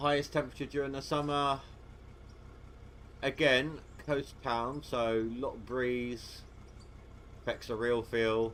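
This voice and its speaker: Speaking at a fairly slow pace with long, frequent pauses, a man with a medium-pitched voice keeps a monotone, flat intonation. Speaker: gaming livestreamer. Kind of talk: casual livestream chat. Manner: stuttering.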